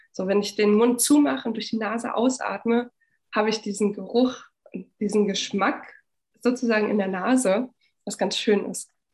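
Somewhat breathy, a woman talks at a fairly high pitch with ordinary pitch variation. She leaves long, frequent pauses. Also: moderate pace. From eastern Germany, Frankfurt (Oder). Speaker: winemaker. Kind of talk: casual chat.

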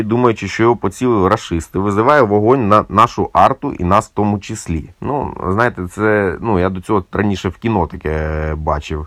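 In a quiet background, a man with an ordinary speaking voice talks at a moderate pace, his fairly low pitch carrying lively intonation. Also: hardly any pauses. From Ukraine, Cherkasy. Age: 40s. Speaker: musician and volunteer soldier. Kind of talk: personal war testimony.

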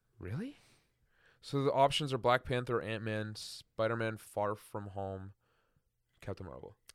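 On a very clean recording with a silent background, a man with a medium pitch and ordinary pitch variation speaks at a fairly slow pace, with long, frequent pauses and big swings in loudness. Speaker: podcast host. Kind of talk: casual chat.

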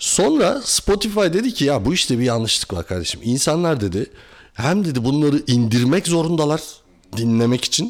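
Very clean, silent-backed recording of a male speaker, moderately paced, his pitch swinging very widely. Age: 40s. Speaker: industrial engineer and entrepreneur. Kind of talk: casual chat.

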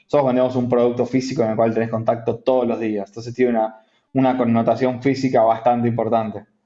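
A man's medium-pitched, dark and mellow voice with an Argentine accent, very fast and monotone with flat intonation. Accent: Argentine Spanish (Rioplatense). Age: 30s. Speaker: entrepreneur, company CEO. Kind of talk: interview. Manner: halting, many repetitions.

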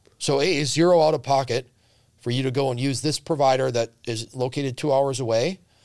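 A man with an American accent has an unremarkable speaking voice at a medium pitch, moving at a fairly quick pace with fairly even intonation. The recording is very clean, with a silent background. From Central Wisconsin. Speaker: healthcare company CEO. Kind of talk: casual interview.

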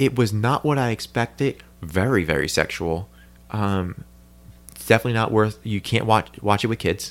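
In a plain, everyday voice with an American accent, a man of fairly low pitch speaks at a moderate pace. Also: ordinary pitch variation. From New Jersey. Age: 30s. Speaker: podcast host. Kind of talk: casual chat.

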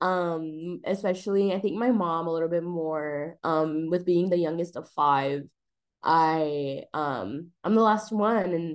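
Here is a woman with an unremarkable speaking voice and a fairly low pitch. Her pitch varies in an ordinary way, and she speaks with an American accent. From US, El Paso, Texas. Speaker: public health student. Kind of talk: interview.

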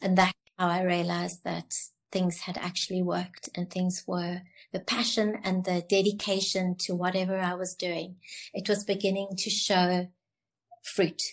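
A woman talks at a moderate pace and medium pitch. Her intonation stays flat and monotone. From South Africa, Cape Town. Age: 70s. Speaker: beauty college founder. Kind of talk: casual interview chat.

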